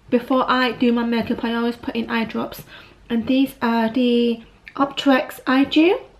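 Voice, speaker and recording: The delivery is fairly slow. Intonation stays monotone and flat. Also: woman, high pitch for a woman. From UK. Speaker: vlogger. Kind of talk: casual vlog. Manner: chatty, casual. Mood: relaxed, slightly reflective. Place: home room. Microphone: phone near.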